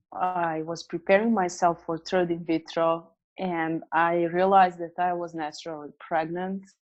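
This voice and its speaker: In a quiet background, a woman speaks at a fairly low pitch with monotone, flat intonation. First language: not English. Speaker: business coach and author. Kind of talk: interview. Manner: hesitant, many fillers.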